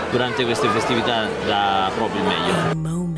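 Over music in the background, a man talks at a fairly slow pace with ordinary pitch variation. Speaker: interviewee. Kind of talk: interview answer. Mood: warm festive greetings. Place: street. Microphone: handheld.

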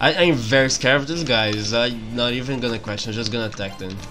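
A man talks at a moderate pace with a fairly low pitch and ordinary pitch variation. Clear music plays in the background.

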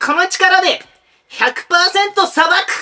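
Extremely high pitch in a cartoonish character voice. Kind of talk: anime-style character voice. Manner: dramatic, cool, declaring.

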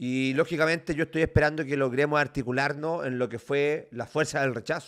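Fairly even intonation runs through speech at a fairly quick pace. The background is quiet. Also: man. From Chile, Valparaíso region. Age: 30s. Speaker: lawyer and political candidate; lawyer, candidate. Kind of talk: interview. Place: home room. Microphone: studio mic.

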